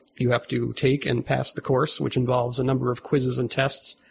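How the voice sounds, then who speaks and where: A man with an American accent talks at a very fast pace and a medium pitch. His intonation is monotone and flat, with vocal fry. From US Northeast, Albany, New York. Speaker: religious organization leader. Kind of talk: casual interview.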